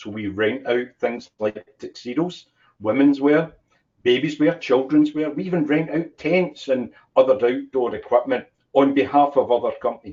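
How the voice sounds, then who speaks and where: A man with a Scottish accent, fairly high pitch, moderate pace and ordinary pitch variation. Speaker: business owner. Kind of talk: interview.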